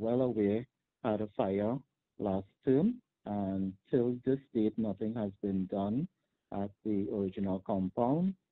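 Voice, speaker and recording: A man talks with a Trinidadian accent at a fairly slow pace. His voice is fairly low, with fairly even intonation. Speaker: teachers' union president. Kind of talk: news interview soundbite, explaining school problems. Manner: measured, with filler words and pauses.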